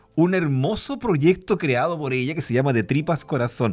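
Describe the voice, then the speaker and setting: A man talks at a moderate speed, his pitch rising and falling across a very wide range. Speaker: radio host. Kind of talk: radio interview.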